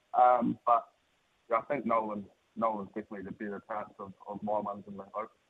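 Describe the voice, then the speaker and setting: Delivered at a very fast pace in a New Zealand accent, the speech stays monotone and flat while its loudness swings widely. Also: man, fairly low pitch for a man. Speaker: greyhound trainer. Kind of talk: radio interview. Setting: phone call.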